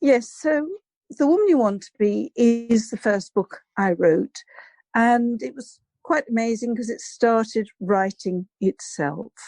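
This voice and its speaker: A woman with an English accent, fairly high in pitch yet dark and mellow in tone, with lively intonation at a fairly slow pace and a dry, close sound with no echo. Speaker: psychologist and abuse recovery coach. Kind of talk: interview.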